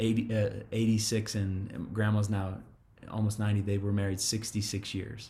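A man speaks at a moderate pace, his pitch fairly low. Room echo can be heard. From Oklahoma, Tulsa. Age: 30s. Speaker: pastor. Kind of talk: casual interview. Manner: animated.

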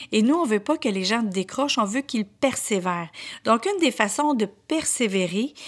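Speaking with a Quebec accent, a woman uses lively intonation at a fairly high pitch and a moderate pace. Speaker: podcast host and motivational speaker. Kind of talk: motivational monologue.

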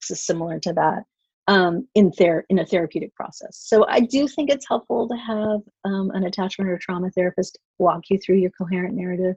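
Fairly quick, somewhat breathy speech with ordinary pitch variation and a dry, close sound with no echo. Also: woman, medium pitch for a woman. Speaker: marriage and family therapist. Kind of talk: interview.

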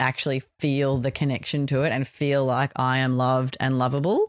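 With an Australian accent, a woman speaks at a fairly quick pace in a very deep, low pitch, the sound dry and close with no echo on a very clean recording with a silent background. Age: 40s. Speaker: podcast host. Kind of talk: personal reflection monologue.

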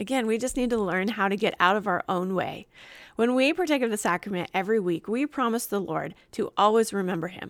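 On a very clean recording with a silent background, a woman speaks at a fairly high pitch in a warm, enthusiastic tone with lively intonation. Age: 40s. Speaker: religious podcast host. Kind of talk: faith teaching monologue.

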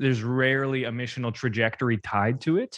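A man's unremarkable speaking voice at a medium pitch, in a Canadian accent, with fairly even intonation and a quiet background. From Canada. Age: 30s. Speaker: church communications consultant. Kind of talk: casual interview.

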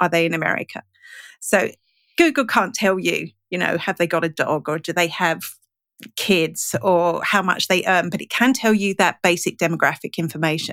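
A woman with a normal speaking voice talks at a moderate pace in a fairly low pitch, with ordinary pitch variation. The recording is very clean with a silent background and a dry, close sound with no echo. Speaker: digital marketing and analytics trainer. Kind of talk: casual interview chat. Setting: podcast interview.

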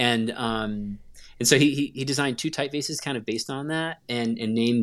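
The very clean recording, with a silent background, features a man with an American accent and an unremarkable speaking voice. He speaks at medium pitch with fairly even intonation. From US South, North Carolina (Gastonia). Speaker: graphic designer. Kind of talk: casual interview chat.

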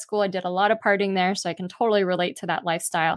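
A woman speaks at a medium pitch with monotone, flat intonation. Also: quiet background. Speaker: author. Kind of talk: interview. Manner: fluent.

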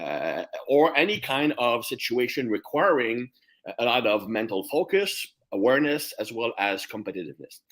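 A man with a French Canadian accent talks at a moderate pace. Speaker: strength coach. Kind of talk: casual interview.

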